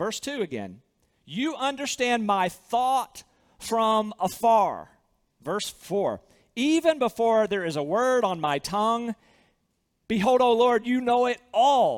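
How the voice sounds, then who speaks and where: A man with a Southern US accent speaks at an extremely high pitch. His pace is fairly slow and his intonation lively. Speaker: pastor. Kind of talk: sermon. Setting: church.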